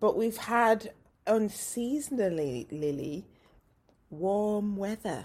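This woman's voice sits at a medium pitch and has lively intonation. She speaks at a very slow pace, leaving long, frequent pauses. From northern England, West Yorkshire. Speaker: podcast host. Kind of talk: casual interview chat.

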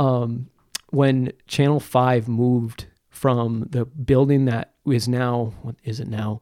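In an upstate New York accent, a man speaks very slowly with a dark, mellow tone. His intonation is monotone and flat, and the sound is dry and close with no echo. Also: medium pitch for a man. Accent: upstate New York American. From North Country, upstate New York (Plattsburgh). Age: 20s. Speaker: communications manager and sports photographer. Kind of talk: casual interview.

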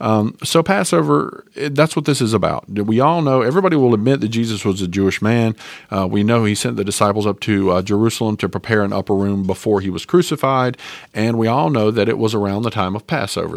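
A man speaks at a very fast pace with lively intonation. The recording is very clean, with a silent background. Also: hardly any pauses. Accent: Southern US. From North Carolina, US South. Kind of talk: casual religious talk, Bible teaching podcast. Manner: informal, chatty, conversational.

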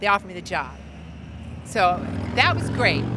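Moderate-tempo speech from a woman, with noticeable background noise throughout. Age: 50s. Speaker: chef and bakery owner. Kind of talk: casual chat. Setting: outdoors on a patio.

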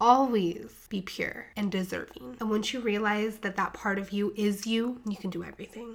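Her pitch sits in the middle range as a woman talks at a moderate speed. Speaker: podcast host and coach. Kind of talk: motivational pep talk. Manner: animated, emphatic, profane.

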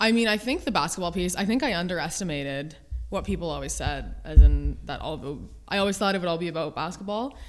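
A woman with a Canadian accent, fairly low pitch and vocal fry at a moderate pace. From Ontario, Canada (Almonte, near Ottawa). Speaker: university basketball coach. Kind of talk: casual interview. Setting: studio, in person.

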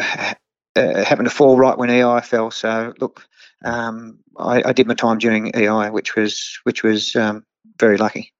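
In an Australian accent, a man speaks at a fairly slow pace with monotone, flat intonation. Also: medium pitch for a man. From Australia, Hunter Valley NSW. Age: 50s. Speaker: horse trainer. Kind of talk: interview. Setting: remote call. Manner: halting, many fillers.

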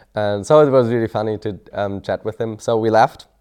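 A man speaks at a moderate pace in a German accent. His tone is dark and mellow. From Germany. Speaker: mission student. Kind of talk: testimony. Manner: halting.

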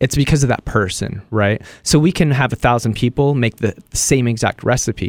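A man with an unremarkable speaking voice talks at a moderate pace, at a medium pitch, with ordinary pitch variation, very even loudness and hardly any pauses. The recording is very clean, with a silent background and a dry, close sound with no echo. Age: 30s. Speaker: cooking content creator. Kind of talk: casual chat.

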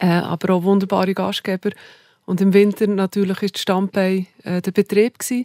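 A woman with a Bernese accent talks at medium pitch and moderate pace, in a dark, mellow tone with monotone, flat intonation. The sound is dry and close with no echo, on a very clean recording with a silent background. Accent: Bernese Swiss German. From Bernese Oberland, Switzerland. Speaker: hotelier. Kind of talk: interview conversation.

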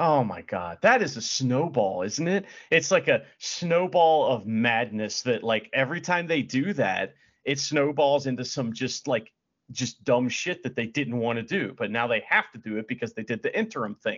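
A man at medium pitch with lively intonation and a moderate pace, in an ordinary speaking voice. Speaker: podcast co-host. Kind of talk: casual chat.

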